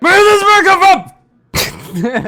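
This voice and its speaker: A man puts on a character voice. It is pitched extremely high. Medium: actual play.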